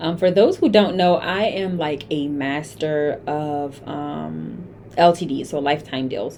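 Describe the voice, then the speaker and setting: Fairly slow speech from a woman amid noticeable background noise. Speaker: community founder and chancellor. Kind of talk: tutorial.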